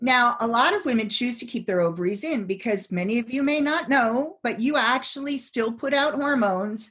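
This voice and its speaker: With lively intonation and a high pitch, a woman talks fairly slowly. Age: 50s. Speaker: psychologist and sex coach. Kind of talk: casual chat.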